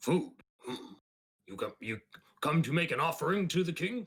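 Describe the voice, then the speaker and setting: A man does a raspy, put-on character voice with a high pitch. He keeps a moderate pace. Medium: actual play. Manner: clipped, broken grammar.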